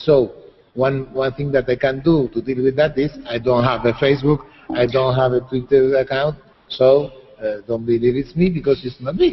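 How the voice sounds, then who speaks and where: There is noticeable background noise behind a man at a medium pitch. He speaks at a moderate pace with fairly even intonation. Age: 60s. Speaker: writer and psychologist. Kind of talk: interview. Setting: video call. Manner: halting, repetitive.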